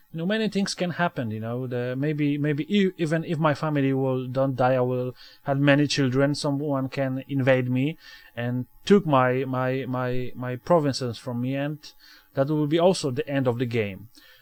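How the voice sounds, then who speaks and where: With a Polish accent, a man speaks at a moderate pace and medium pitch. His pitch varies in an ordinary way. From Poland. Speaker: gaming video creator. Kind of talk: let's play commentary. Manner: halting, many fillers and repetitions.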